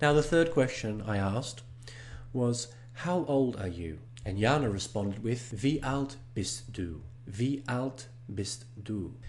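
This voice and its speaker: In a non-native accent, a somewhat breathy voice with ordinary pitch variation speaks at a very slow pace amid audible room echo. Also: man, medium pitch for a man. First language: not German. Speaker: online German course host. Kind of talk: tutorial. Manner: slow, deliberate with repeated phrases.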